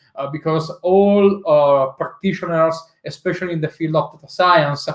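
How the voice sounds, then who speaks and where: A man with an Italian accent, fairly high in pitch and fairly slow in pace. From Italy. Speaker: tech executive and conference speaker. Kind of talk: tech talk presentation. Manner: hesitant, many filler uhs.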